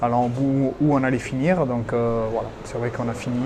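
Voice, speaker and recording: A man with a Basque accent talks at a moderate pace and medium pitch. His intonation is flat and monotone, with noticeable background noise. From French Basque Country, Hendaye. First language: Basque (speaking French). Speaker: retired rugby player. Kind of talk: interview. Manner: hesitant, many fillers.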